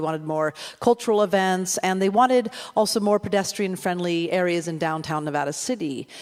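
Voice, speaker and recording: With ordinary variation, the woman's medium pitch shifts as she talks. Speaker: local politician and community organizer. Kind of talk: public talk.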